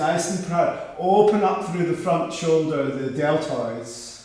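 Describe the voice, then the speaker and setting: A man with a high pitch speaks amid noticeable background noise and audible room echo. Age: 60s. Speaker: yoga teacher. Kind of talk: guided yoga class. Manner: halting.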